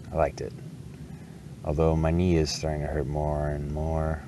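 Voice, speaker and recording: Over noticeable background noise and audible room echo, a man with an American accent speaks at a moderate pace in a very deep, low pitch. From Wisconsin. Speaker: bike traveler vlogger. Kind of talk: casual vlog monologue. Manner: halting, many repetitions.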